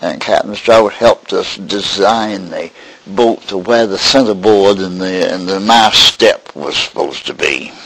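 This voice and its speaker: With an American accent, a man speaks fairly slowly at a fairly low pitch and with fairly even intonation over noticeable background noise. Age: 90s. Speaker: elderly boat builder. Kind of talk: oral history interview. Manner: halting, with many fillers.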